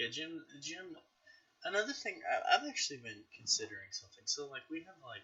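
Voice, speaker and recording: A man talks at a fairly quick pace with an American accent. His loudness swings widely. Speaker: podcast host, gaming YouTuber. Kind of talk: casual chat.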